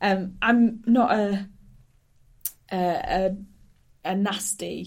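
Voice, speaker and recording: In a Hull accent, a woman speaks very slowly at a medium pitch, somewhat breathy and monotone, with long, frequent pauses. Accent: Hull accent, northern English. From Hull, northern England. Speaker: stand-up comedian. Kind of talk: casual interview chat.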